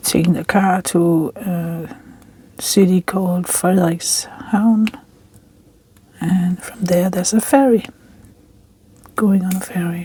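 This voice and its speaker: With a Danish accent, the speaker has a relaxed tone and a very slow pace, with noticeable background noise. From Denmark. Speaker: crafting vlogger. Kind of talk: casual chat while crafting. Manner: relaxed, slightly halting.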